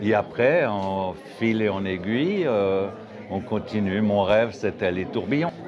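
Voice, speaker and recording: Over noticeable background noise, a man talks at a very slow pace with a fairly low pitch and ordinary pitch variation. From Geneva, Switzerland. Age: 60s. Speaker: watchmaker. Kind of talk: interview. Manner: halting.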